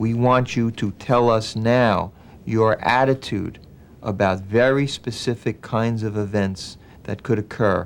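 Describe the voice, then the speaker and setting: Intonation here stays fairly even. It is an ordinary speaking voice. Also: man. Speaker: elder law attorney. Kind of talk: explanatory talk to a client.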